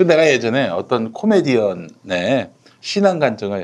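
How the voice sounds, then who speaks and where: Vocal fry marks the speech of this man, whose pitch rises and falls over a very wide range. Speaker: talk show host. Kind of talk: casual panel discussion about media and news. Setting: studio.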